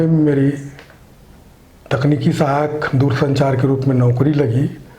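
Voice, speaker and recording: Delivered in a flat monotone, the voice carries audible room echo. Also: man. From India, Chhattisgarh (Mahasamund area). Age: 60s. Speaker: social worker. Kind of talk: interview.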